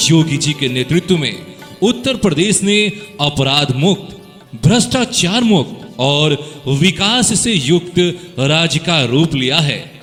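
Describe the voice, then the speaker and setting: Over background music, a man talks in a high pitch with lively intonation. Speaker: radio jockey and voice-over artist. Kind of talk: political rally campaign announcement. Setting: studio. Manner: energetic, loud, promotional.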